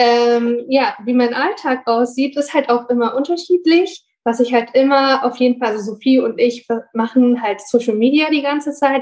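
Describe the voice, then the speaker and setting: A woman with a high pitch for a woman speaks at a moderate pace with ordinary pitch variation and hardly any pauses. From Bonn, Germany. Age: 20s. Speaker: university student and working student. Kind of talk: casual interview chat.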